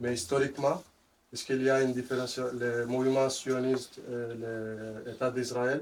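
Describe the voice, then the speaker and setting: With a non-native accent, a man speaks at a fairly slow pace in a monotone, flat intonation. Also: medium pitch for a man. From Western Sahara. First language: not French (speaking French). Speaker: audience member. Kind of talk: audience question. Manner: halting.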